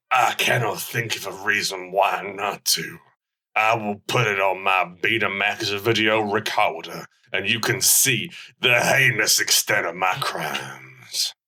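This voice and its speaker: Putting on a character voice, a man speaks at a fairly low pitch with fairly even intonation. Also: fairly slow pace. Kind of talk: comic overacting. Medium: audio drama. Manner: stiff, oddly formal.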